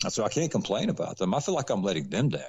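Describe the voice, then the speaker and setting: Vocal fry marks a man's speech in a Southern US accent, his pitch swinging very widely. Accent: Southern country. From US South, Atlanta, Georgia. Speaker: actor. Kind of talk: interview conversation.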